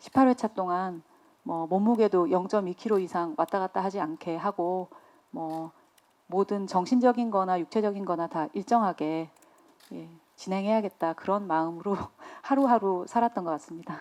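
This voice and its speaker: A woman talks at a moderate pace and medium pitch with ordinary pitch variation. Hers is an unremarkable speaking voice, heard over a quiet background. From Busan, South Korea. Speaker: lead film actress. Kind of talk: press conference Q&A.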